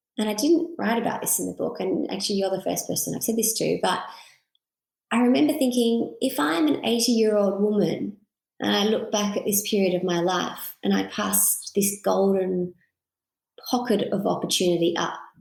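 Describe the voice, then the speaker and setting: Speaking with an Australian accent, a woman of medium pitch shows vocal fry and lively intonation at a moderate pace. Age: 30s. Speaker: author. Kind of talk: interview conversation.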